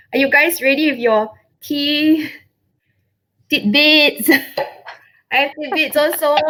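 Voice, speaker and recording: Projecting a raised voice with a bright, sharp tone, a woman speaks high in pitch at a fairly slow pace, her pitch varying in an ordinary way and her loudness very even, with long, frequent pauses. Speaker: travel blogger. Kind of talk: live video chat. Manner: animated.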